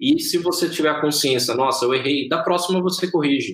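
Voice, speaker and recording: A man talks at a moderate pace. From Brazil, interior of São Paulo state. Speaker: software engineer. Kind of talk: interview.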